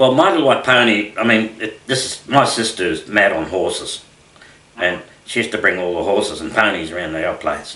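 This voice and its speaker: A man with an Australian accent talks at a fairly quick pace, with medium pitch and lively intonation. Noticeable background noise and audible room echo are present. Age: 60s. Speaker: country singer-songwriter. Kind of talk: radio interview. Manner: halting, many fillers.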